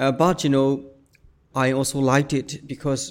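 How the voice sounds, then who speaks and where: A man with a medium-pitched voice and a Burmese accent. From Myanmar, Yangon suburb. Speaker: poet and visual artist. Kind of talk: interview.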